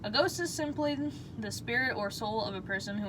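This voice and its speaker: Noticeable background noise accompanies a woman talking at a fairly fast clip. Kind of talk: sleep story.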